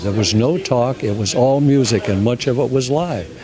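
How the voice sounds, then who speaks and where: Moderately paced male speech at medium pitch, noticeable background noise and audible room echo behind it. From California, San Diego. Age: 80s+. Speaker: music festival director. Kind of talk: interview. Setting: hotel. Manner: halting.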